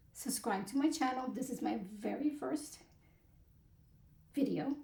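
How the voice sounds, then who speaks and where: A high-pitched woman's voice comes through with a dark, mellow tone. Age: 60s. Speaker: personal finance vlogger. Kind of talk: casual vlog monologue. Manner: hesitant, many fillers.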